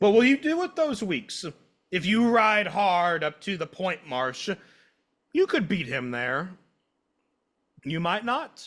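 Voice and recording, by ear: Putting on a character voice, a man talks slowly at a high pitch, his fairly bright tone making big pitch swings.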